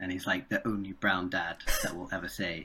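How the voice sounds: Speaking at a fairly quick pace with a British accent, a man has a low pitch and little pitch movement. His tone is bright and sharp, with a slightly husky edge.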